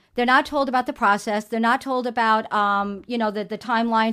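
In a New York accent, a woman speaks very fast at a high pitch. The recording is very clean, with a silent background. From New York City. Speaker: libertarian local elected official. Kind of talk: talk show interview.

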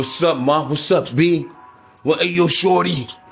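In a gruff, put-on character voice of fairly high pitch, a man speaks at a moderate pace while faint music plays in the background. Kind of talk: street slang.

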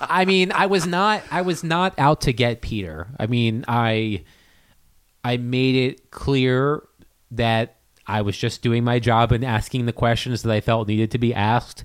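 A man with an unremarkable speaking voice talks at medium pitch and a fairly slow pace, using lively intonation. The recording is very clean, with a silent background. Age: 30s. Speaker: hockey beat writer. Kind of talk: casual chat. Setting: studio.

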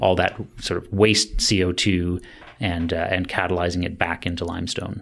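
A man speaks with a Canadian accent. His voice is very deep and low, and his intonation is flat and monotone. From Ontario, Canada. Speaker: sustainable building educator. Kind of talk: interview.

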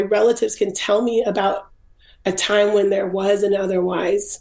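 At a moderate pace, a woman speaks with a dark, mellow tone, a medium pitch and ordinary pitch variation. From Washington State, US. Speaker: photographer and author. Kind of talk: interview.

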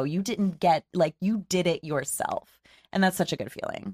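A woman speaks at a moderate pace in a normal speaking voice, captured in a very clean, dry, close recording with a silent background and no echo. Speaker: podcast co-host. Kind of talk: casual chat. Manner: laughs often.

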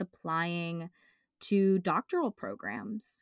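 A woman's unremarkable speaking voice at medium pitch, very cleanly recorded against a silent background, with a dry, close sound and no echo. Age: 20s. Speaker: podcast co-host and doctoral student. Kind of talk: casual chat.

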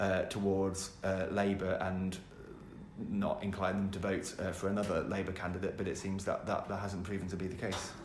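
Over noticeable background noise, a man with a fairly low pitch speaks in a monotone, flat way at a moderate pace. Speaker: political editor. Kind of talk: casual chat. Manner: tired.

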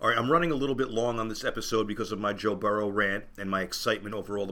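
The man's voice sits fairly low. He talks very fast. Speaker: podcast host and football fan. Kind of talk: sports podcast monologue. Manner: fast talker.

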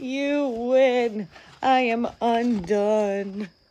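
A female-sounding voice puts on a character voice at a fairly high pitch. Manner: despairing.

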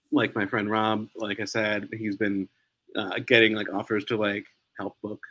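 A man with an American accent speaks fairly slowly in a fairly low voice with a bright, sharp tone, the sound dry and close with no echo. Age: 40s. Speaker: newspaper editor. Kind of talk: casual interview.

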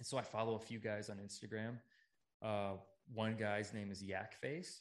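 With an American accent, a man speaks in a normal speaking voice. His pitch is fairly low, and his pace is moderate. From US Midwest, Chicago area. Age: 30s. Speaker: podcaster. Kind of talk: casual chat. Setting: in person.

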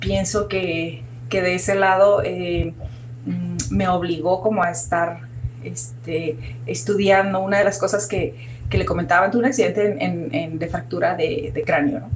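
At a fairly slow pace, a woman talks in a space with audible room echo and noticeable background noise. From northwest Mexico (Sinaloa, Sonora). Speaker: biomedical engineering professor and researcher. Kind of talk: interview.

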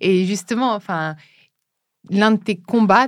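Very clean recording with a silent background of a woman going fairly slowly, her pitch varying in an ordinary way. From France, Brittany. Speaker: podcast host. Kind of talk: interview.

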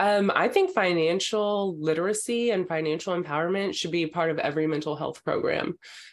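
A woman with an American accent and a plain, everyday voice, fairly low in pitch with ordinary pitch variation, at a fairly quick pace with hardly any pauses. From Texas. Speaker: actress and comedian. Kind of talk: casual chat.

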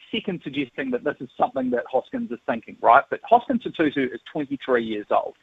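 A man speaks with a New Zealand accent at a fairly high pitch. His pace is fairly quick, and his pitch swings very widely. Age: 30s. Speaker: sports journalist. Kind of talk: radio interview.

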